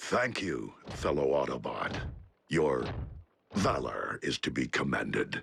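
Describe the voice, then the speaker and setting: A man does a cartoonish character voice at a very deep, low pitch. He goes at a fairly slow pace with long, frequent pauses. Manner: formal, measured.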